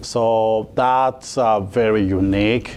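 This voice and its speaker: A man with a fairly low voice is heard against noticeable background noise. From Mali, West Africa. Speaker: coffee company founder. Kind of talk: interview. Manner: halting, many fillers.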